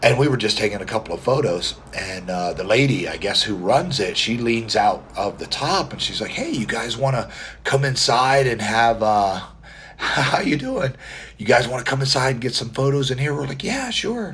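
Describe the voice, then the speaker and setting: Noticeable background noise sits behind a man speaking at a moderate pace. His medium-pitched voice has lively intonation. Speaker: competitive mustache grower. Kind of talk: casual livestream talk to camera. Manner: quiet.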